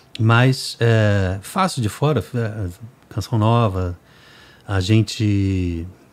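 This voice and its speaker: Speech at a very slow pace on a very clean recording with a silent background. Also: man, fairly low pitch for a man, ordinary pitch variation. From Brazil, Rio de Janeiro. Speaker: music producer and podcast host. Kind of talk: casual chat.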